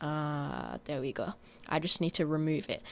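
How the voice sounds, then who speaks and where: A woman is talking. Her speed is moderate. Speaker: video editing tutorial youtuber. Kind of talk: tutorial. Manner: halting, many fillers and restarts.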